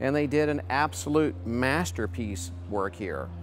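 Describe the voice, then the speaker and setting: A man speaks with music playing in the background. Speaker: classic car dealer host. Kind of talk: car presentation commentary. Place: hall.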